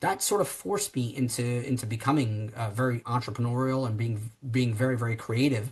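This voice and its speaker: A man with an American accent speaks with ordinary pitch variation and a somewhat breathy sound. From New Jersey, US. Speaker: tech company founder and CEO. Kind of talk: podcast interview. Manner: animated, many fillers and restarts.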